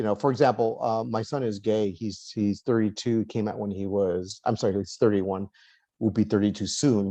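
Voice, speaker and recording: Dark, mellow tone from a man with a Californian accent, fairly quick pace, quiet background. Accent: Californian American English. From Los Angeles, US. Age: 60s. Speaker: author and lawyer. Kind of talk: interview conversation. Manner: halting, many fillers and repeats.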